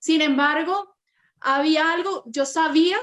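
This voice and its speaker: A woman talks with a Venezuelan accent. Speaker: personal branding consultant. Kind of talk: interview.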